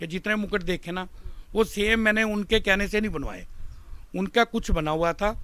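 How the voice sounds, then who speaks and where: Raising and projecting his high-pitched voice, a man speaks with a bright, sharp tone and fairly even intonation. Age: 60s. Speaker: Ramlila stage actor. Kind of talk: interview. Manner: hesitant with fillers.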